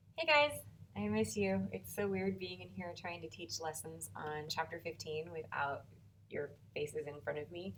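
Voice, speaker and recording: With an American accent, a woman talks in a very deep, low pitch as audible room echo surrounds her words. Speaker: high school math teacher. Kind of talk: recorded video lesson. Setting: empty classroom. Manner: uneven volume; casual, chatty.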